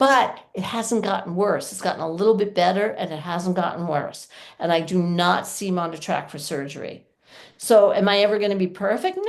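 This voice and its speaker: An unremarkable speaking voice from a woman, medium pitch, ordinary pitch variation, big swings in loudness, moderate pace, against a quiet background. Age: 60s. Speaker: yoga teacher and pelvic floor presenter. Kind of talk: workshop talk with Q&A. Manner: casual, conversational.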